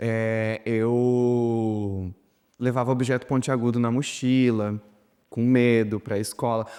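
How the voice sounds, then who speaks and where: Very slow in pace, a man talks at a medium pitch with a dark, mellow tone and a monotone, flat intonation. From interior of Paraná, Brazil. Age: young. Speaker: documentary interviewee. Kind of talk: testimony. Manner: halting.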